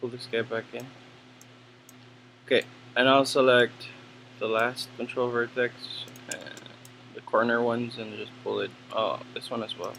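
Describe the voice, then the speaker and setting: Mumbling at a moderate pace, the speaker leaves long, frequent pauses, the loudness swings widely, and there is noticeable background noise. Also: man. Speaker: 3D animation tutor. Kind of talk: tutorial. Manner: casual.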